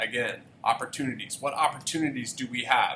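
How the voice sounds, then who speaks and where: A man with an American accent speaks at a moderate pace, his fairly high pitch moving with ordinary variation. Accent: southern US, at times. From Tennessee. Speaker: teacher, student government advisor. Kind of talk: presentation to parents.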